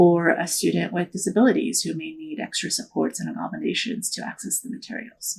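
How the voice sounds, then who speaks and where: The speaker has a Korean accent. The pace is moderate. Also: very clean recording, silent background. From born in Korea, moved to the US at nine, grew up partly in Ohio. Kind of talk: interview. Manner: casual, many filler words.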